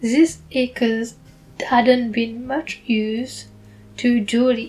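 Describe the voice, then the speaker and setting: A woman with a strong non-native accent speaks very slowly, her intonation fairly even. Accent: heavy foreign. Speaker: book reader. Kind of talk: reading aloud; casual aside.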